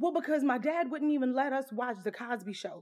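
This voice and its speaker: Lively intonation and a fairly quick pace mark this speech in a Louisiana accent. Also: woman. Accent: Southern US (Louisiana). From Southwest Louisiana, US South. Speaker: podcaster, army veteran. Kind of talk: casual personal storytelling.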